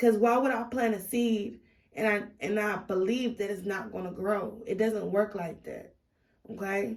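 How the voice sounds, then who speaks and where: Spoken at a fairly slow pace with fairly even intonation, the voice carries audible room echo. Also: woman, medium pitch for a woman. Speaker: tarot reader. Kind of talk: tarot reading monologue. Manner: loud; hesitant, many fillers.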